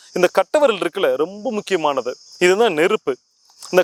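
A high-pitched man with lively intonation, heard in a dry, close sound with no echo. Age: 40s. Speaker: spiritual teacher. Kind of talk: tutorial.

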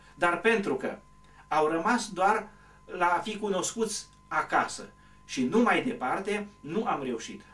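Speaking at a very slow pace, a man uses a high pitch. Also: ordinary pitch variation. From Romania, Bârgău Valley, Bistrița area (Transylvania); Transylvania. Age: old. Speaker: retired teacher and local author; former teacher. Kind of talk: interview. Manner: hesitant, with frequent fillers. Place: home room.

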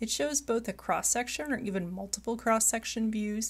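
A woman in an American accent, fairly high-pitched and somewhat breathy, at a moderate pace on a very clean recording with a silent background. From Michigan. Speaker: college geology instructor. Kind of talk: recorded mini lecture.

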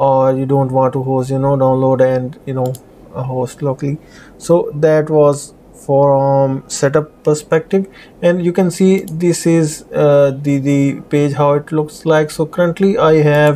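In a dark, mellow tone, a man talks at a fairly slow pace with fairly even intonation. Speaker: programming tutor. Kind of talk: tutorial.

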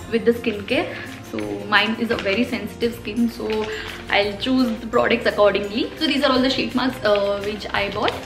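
Clear music plays in the background as a woman talks at a moderate pace with ordinary pitch variation. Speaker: beauty vlogger. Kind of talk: casual vlog chat. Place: home room.

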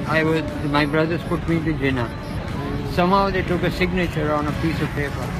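Over clear background music, a man speaks at a fairly quick pace with long, frequent pauses, in a dry sound with no echo. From Lahore, Pakistan. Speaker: street interviewee. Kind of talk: interview answer. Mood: earnest, sad life story. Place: street. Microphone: phone near.

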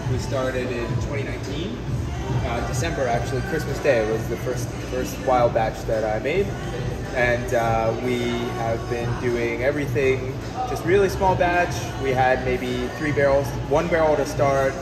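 Clear music plays behind a man who takes long, frequent pauses. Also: moderate pace. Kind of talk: interview answer. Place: bar. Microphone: phone near.

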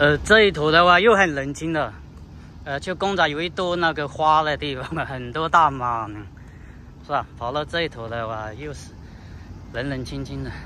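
With lively intonation and a fairly high pitch, a man speaks at a moderate pace with long, frequent pauses, the sound dry with no echo and light background noise. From mainland China. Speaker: travel vlogger. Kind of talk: casual vlog narration while walking. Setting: outdoors, on location. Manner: conversational, casual, often surprised. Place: street. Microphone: phone near.

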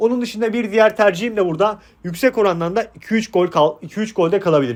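This man has a high voice and an animated tone, with ordinary pitch variation and a moderate pace. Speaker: sports betting tipster. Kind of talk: casual monologue.

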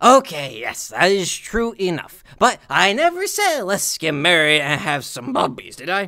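This put-on character voice sits at a middle pitch and keeps a moderate pace with hardly any pauses. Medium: read story. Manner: slurred, bubbly, pushy.

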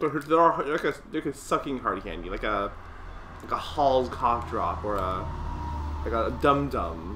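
With noticeable background noise behind him, a man talks fairly slowly. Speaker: video creator reviewing candy. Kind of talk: casual review video. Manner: rambling, stumbling, casual. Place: home room. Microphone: webcam.

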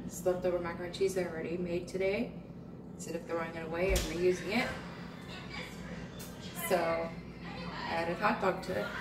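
A woman at a fairly low pitch with little pitch movement, a moderate pace, long, frequent pauses and clear background noise

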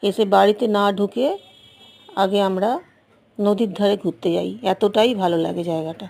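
A woman at a medium pitch with fairly even intonation, noticeable background noise behind her. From West Bengal, South 24 Parganas. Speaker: travel vlogger. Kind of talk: travel vlog narration. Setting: outdoors.

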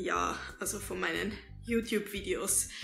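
At a moderate pace, a woman speaks in a room with audible echo while faint music plays in the background. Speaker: YouTuber, storyteller. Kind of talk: casual talk to camera. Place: home room. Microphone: camera far.

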